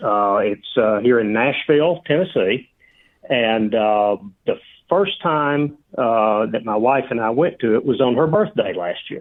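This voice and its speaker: At a fairly slow pace, a man with a Southern US accent speaks at a medium pitch with lively intonation. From Georgia, US South. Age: 60s. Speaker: retired beer enthusiast. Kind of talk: casual interview.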